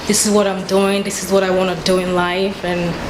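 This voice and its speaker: Against noticeable background noise, a woman talks at a fairly quick pace with a medium pitch. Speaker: TV show host. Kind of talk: interview questions. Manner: upbeat.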